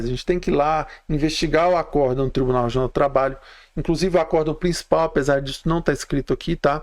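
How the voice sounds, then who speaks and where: Delivered with fairly even intonation, the speech races along at a very fast pace. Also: man. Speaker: labor law instructor. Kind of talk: live stream lecture. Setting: live stream.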